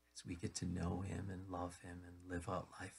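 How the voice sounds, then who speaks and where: This man has a very deep, low pitch and a dark, mellow, somewhat breathy tone, talking at a moderate pace. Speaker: pastor. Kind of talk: sermon. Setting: radio broadcast.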